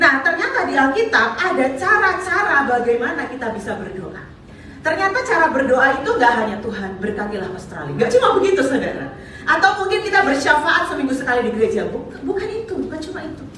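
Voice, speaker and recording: A woman speaks very fast in a raised, projected voice at a high pitch, with very wide pitch swings and big swings in loudness. Noticeable background noise and audible room echo surround her. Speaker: visiting preacher. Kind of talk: sermon.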